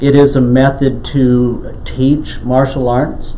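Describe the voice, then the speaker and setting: A man at medium pitch speaks with fairly even intonation. There is audible room echo and noticeable background noise. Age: 60s. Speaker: qigong instructor. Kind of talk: interview. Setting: in a home.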